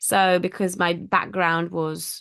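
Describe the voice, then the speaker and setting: A woman speaks with an Italian accent. Her pitch is fairly low, and the background is quiet. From Italy. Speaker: language teacher. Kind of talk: interview conversation. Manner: hesitant with fillers.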